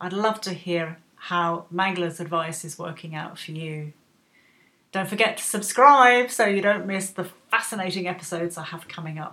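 Her bright, sharp tone sits at a fairly low pitch as the woman speaks at a moderate pace, with ordinary pitch variation and big swings in loudness. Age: 50s. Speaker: podcast host. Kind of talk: scripted narration.

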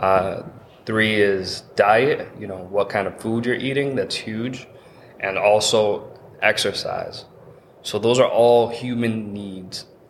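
Over noticeable background noise, a man with an American accent speaks at a very slow pace and medium pitch, fairly even in intonation but with big swings in loudness. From Lawrence, Massachusetts. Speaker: entrepreneur. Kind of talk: casual interview.

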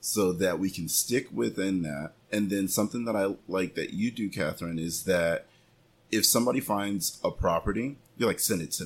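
A man with an unremarkable speaking voice talks at a moderate pace, his pitch fairly low with ordinary variation. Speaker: real estate agent and podcast host. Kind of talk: casual podcast interview.

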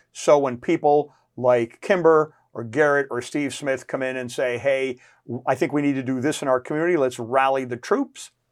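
Recorded very cleanly against a silent background, a man with an American accent speaks in a normal speaking voice with fairly even intonation. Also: medium pitch for a man, moderate pace. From New Jersey. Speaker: chamber of commerce president. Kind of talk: casual interview. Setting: studio.

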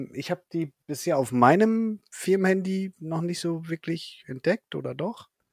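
A man with a high pitch talks at a fairly slow pace with hardly any pauses, the sound dry and close with no echo. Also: ordinary pitch variation, very clean recording, silent background. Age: 40s. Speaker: podcast host. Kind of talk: casual interview.

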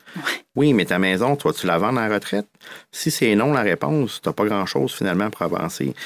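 A man speaks at a fairly quick pace with a fairly low pitch and very wide pitch swings. His loudness stays very even, and the recording is very clean with a silent background. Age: 40s. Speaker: mortgage broker. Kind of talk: casual interview.

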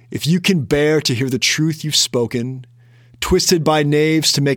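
A man is speaking. He has an American accent. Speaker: financial planner and podcast host. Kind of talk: solo podcast reading a classic poem aloud, then offering commentary. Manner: hesitant, filler-laden in unscripted commentary.

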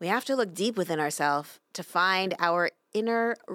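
The reading voice is unforced. Nothing much is heard behind it.

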